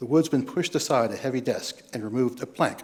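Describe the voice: The text is plainly read out, its pitch shifting in an ordinary way.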